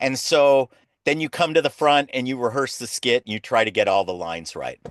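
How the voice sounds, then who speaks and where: At a fairly quick pace, a man with a normal speaking voice and an American accent talks at a medium pitch with lively intonation against a quiet background. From US West Coast (Los Angeles). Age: 60s. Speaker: clown teacher. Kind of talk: interview.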